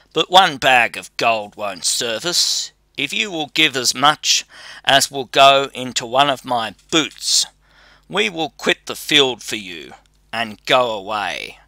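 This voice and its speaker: This man puts on a character voice at a medium pitch. His pace is fairly slow. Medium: read story. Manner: bold, fearless, mocking.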